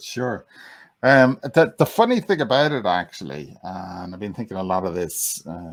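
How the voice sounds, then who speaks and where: Here a man talks with an Irish accent. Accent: calming Irish. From Ireland. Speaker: mind coach. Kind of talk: interview. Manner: halting.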